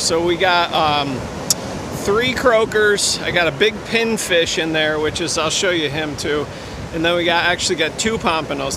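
Over noticeable background noise, a man with a high pitch speaks at a moderate pace with ordinary pitch variation, the sound dry with no echo. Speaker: fishing vlogger. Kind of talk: casual vlog chat. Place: beach. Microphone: phone near.

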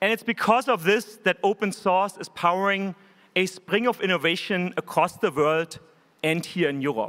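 Against a quiet background, a high-pitched man with a German accent speaks at a moderate pace in a bright, sharp tone with ordinary pitch variation. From Germany. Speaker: tech company executive. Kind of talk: keynote speech. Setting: stage with audience. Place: hall. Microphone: podium.

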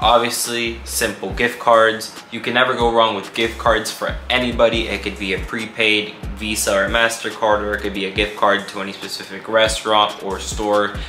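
A man talks over light background noise, with audible room echo. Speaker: vlogger. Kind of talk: casual vlog chat. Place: home room.

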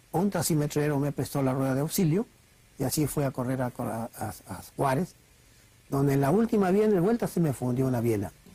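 In an Argentine accent, the speaker uses a dark, mellow, somewhat breathy tone at a moderate pace in a dry recording with no echo. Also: man. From Argentina. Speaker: racing driver. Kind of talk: interview answer. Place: studio.

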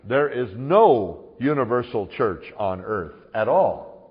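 This man's voice is somewhat breathy. His pitch is medium. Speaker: pastor and Bible teacher. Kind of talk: sermon / Bible teaching. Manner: conversational, humorous, emphatic.

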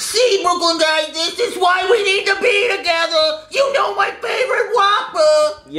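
An extremely high-pitched put-on character voice at a moderate pace, over light background noise.

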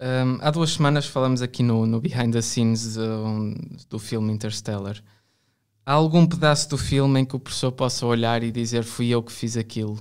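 A plain, everyday voice, a man's at medium pitch, moves at a moderate pace with fairly even intonation in a very clean recording over a silent background. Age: 20s. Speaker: podcast host and art student. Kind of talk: interview.

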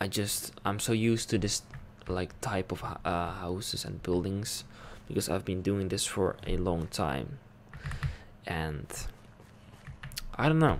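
The speaker is soft-spoken, with lively intonation and a fairly slow pace. Long, frequent pauses break the speech over light background noise. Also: man, very deep, low pitch for a man. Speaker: ASMR gaming creator. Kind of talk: casual ASMR gameplay commentary. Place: home room. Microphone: studio mic.

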